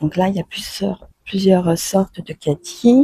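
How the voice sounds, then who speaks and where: At a very slow pace, a woman speaks at a medium pitch with ordinary pitch variation, in a dry, close sound with no echo. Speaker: French teacher. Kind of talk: vlog-style language lesson. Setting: garden centre, on location. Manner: animated.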